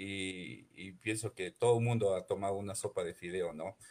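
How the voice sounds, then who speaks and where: A man's somewhat breathy voice at a moderate pace. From Ecuador, Imbabura (Ibarra). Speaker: chef. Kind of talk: radio interview. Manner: hesitant, many repetitions.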